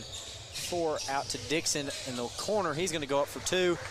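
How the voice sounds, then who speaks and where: Noticeable background noise and audible room echo around a man's voice, its pitch variation ordinary. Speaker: play-by-play radio announcer. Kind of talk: live sports commentary. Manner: fast.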